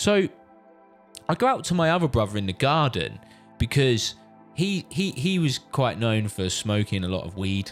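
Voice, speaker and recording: With a British accent and music in the background, the speaker moves at a moderate pace with long, frequent pauses and very wide pitch swings. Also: man, medium pitch for a man. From UK. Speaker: father. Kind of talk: casual storytelling to camera.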